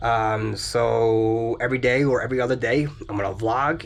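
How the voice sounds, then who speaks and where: The voice is somewhat breathy. Its intonation stays fairly even. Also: man. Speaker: amateur racer and vlogger. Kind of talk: casual vlog while working on car.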